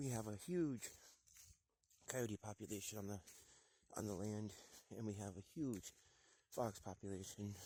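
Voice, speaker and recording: A man with a dark, mellow tone speaks at a fairly low pitch and moderate pace, with ordinary pitch variation and long, frequent pauses. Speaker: hunter vlogger. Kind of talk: outdoor hunting vlog. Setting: outdoors.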